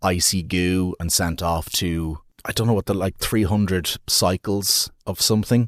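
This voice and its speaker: Speaking with an Irish accent, a man uses a very deep, low pitch and fairly even intonation at a fairly slow pace. The recording is very clean, dry and close, with no echo and a silent background. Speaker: podcast co-host. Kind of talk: casual chat.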